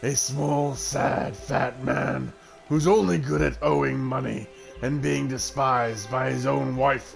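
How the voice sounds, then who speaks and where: A man speaks at a fairly slow pace in a raspy, growling, put-on character voice, with clear music playing in the background. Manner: menacing, contemptuous.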